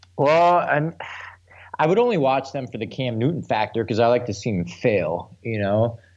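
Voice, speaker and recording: With an American accent and an unremarkable speaking voice, a man talks at a moderate pace and medium pitch with lively intonation over a quiet background. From Milwaukee, Wisconsin. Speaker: podcast host, sports commentator. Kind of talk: casual chat.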